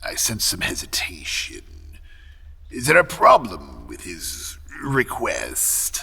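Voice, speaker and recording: Using a put-on character voice, a man talks at a fairly slow pace with long, frequent pauses over light background noise. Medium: audio drama. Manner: polite, measured.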